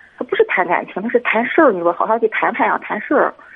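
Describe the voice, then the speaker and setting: A woman speaks over noticeable background noise. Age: 40s. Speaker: caller to advice show. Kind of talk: personal problem call.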